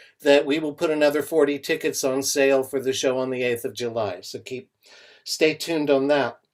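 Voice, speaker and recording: A man talks in a normal speaking voice at a fairly high pitch. His pace is fairly quick and his intonation fairly even. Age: 60s. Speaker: open mic show host. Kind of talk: live online show hosting. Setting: video call.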